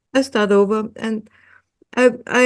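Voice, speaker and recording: With an Austrian accent, a woman speaks at a fairly high pitch. Her pace is very slow, with ordinary pitch variation. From Austria, Vienna. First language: German. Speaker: hypnotherapist. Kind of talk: interview. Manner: halting, many fillers and repeats.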